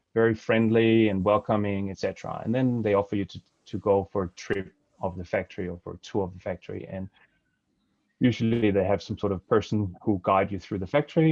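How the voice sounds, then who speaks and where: With a Danish accent, the speaker talks at a fairly quick pace using fairly even intonation. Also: man. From Denmark. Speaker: supply chain compliance consultant. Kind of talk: webinar presentation. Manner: halting, many fillers.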